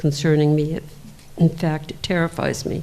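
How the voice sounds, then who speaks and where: With an American accent, a woman talks at a moderate pace in a very deep, low pitch. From US Northeast, Hudson Valley, New York. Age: 70s. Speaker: local resident speaking at public hearing. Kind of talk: public comment, prepared statement. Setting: town meeting room with microphone.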